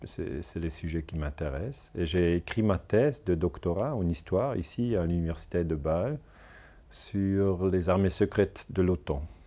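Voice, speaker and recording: In a Swiss German accent, a dark, mellow voice moves at a fairly slow pace with lively intonation. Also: man, very deep, low pitch for a man. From German-speaking Switzerland. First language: German (speaking French). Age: 40s. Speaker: historian; interviewee. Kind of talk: interview. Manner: halting. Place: home room.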